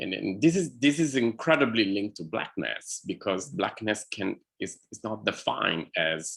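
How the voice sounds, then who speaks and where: A man speaks in an Italian accent at a moderate pace. His pitch is fairly low and his intonation lively. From Italy. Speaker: artist in conversation. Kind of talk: one-on-one conversation. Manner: halting, many fillers.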